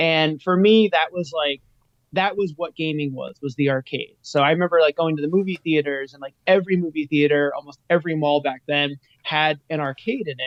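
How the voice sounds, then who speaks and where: A man with an unremarkable speaking voice talks at a fairly quick pace, fairly high in pitch with ordinary variation and big swings in loudness. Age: 40s. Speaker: retro arcade business guest. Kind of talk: casual chat. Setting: live stream.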